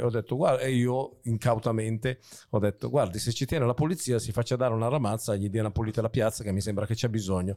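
The recording is very clean, with a silent background. A man's dark, mellow tone carries ordinary pitch variation. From northern Italy, Varese area. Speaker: comedian and podcast host. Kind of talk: casual chat.

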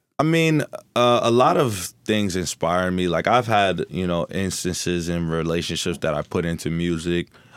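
A man with an American accent talks at a moderate pace in a very deep, low pitch with ordinary pitch variation. The recording is very clean and the background silent. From Newark, New Jersey. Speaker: musician. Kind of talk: casual chat.

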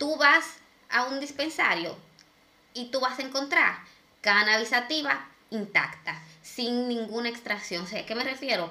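A woman speaks at a fairly slow pace in a high pitch, leaving long, frequent pauses. Noticeable background noise runs under her voice. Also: ordinary pitch variation. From Dominican Republic. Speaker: podcast co-host. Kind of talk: casual chat.

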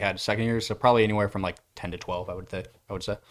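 An ordinary speaking voice from a man with an American accent, fairly low in pitch with fairly even intonation, on a very clean recording with a silent background. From US Midwest, Iowa (Cedar Rapids). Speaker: sports science lab intern, grad student. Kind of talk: casual chat.

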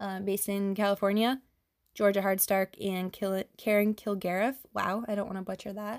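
The recording is very clean and the background silent. A woman talks at a moderate speed in a medium pitch. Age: 30s. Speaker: podcast host, endometriosis patient advocate. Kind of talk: solo monologue podcast. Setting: home recording late at night. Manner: hesitant, many filler ums.

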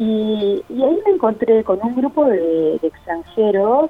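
Over noticeable background noise, a woman with a fairly high pitch talks fairly slowly, her pitch swinging very widely. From Uruguay, Cerro Largo (rural northeast). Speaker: art gallery owner. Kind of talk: interview. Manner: halting.

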